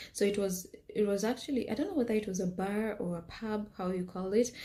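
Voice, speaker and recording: A woman with a Kenyan accent, somewhat breathy, with a dark, mellow tone, medium pitch and ordinary pitch variation. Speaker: health scientist and business owner. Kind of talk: personal storytelling vlog. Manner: hesitant, many fillers.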